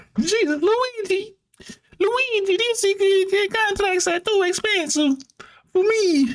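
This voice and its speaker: This put-on character voice sits at an extremely high pitch and plays up an Italian accent as part of the act. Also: fairly slow pace. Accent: Italian (exaggerated). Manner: comedic, mock accent.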